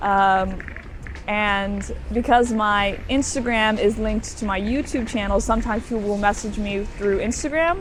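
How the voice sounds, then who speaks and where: A woman speaks with an American accent at medium pitch and a moderate pace, with ordinary pitch variation. Audible room echo and noticeable background noise are present. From Florida, US. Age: young. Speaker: student, interviewee. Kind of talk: casual interview. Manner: hesitant, many fillers.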